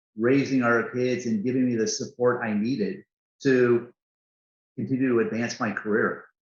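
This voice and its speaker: At a moderate pace and medium pitch, a man speaks in an unremarkable speaking voice. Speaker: corporate CEO. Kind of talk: interview answer.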